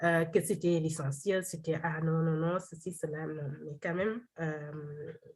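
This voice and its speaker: The delivery is very slow and somewhat breathy. Pitch varies in an ordinary way. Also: woman. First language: Wolof (speaking French). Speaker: doctoral researcher. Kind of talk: seminar presentation and Q&A. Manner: halting, many repetitions and fillers.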